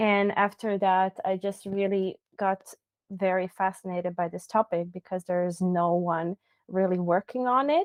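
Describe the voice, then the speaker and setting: A woman with a Croatian accent talks at a fairly slow pace, her medium pitch carried by fairly even intonation. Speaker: designer and researcher. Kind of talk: interview.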